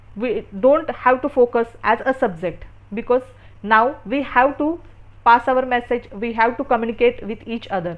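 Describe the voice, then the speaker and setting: Someone speaks with an Indian accent at a moderate pace with ordinary pitch variation. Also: woman, high pitch for a woman. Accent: Indian (Marathi) English. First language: Marathi. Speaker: English teacher. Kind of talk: tutorial. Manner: halting.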